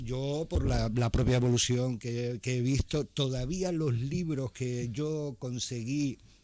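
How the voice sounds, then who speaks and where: At a very slow pace with hardly any pauses, a man talks in a medium pitch with ordinary variation and a dark, mellow tone. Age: 60s. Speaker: writer. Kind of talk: radio interview. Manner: hesitant, many fillers.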